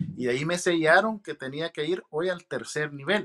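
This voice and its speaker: Against a quiet background, a man speaks at a moderate pace with a fairly high pitch, ordinary pitch variation and a bright, sharp tone. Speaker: naturalized citizen sharing interview experience. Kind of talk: interview, casual testimony. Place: home room. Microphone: video call.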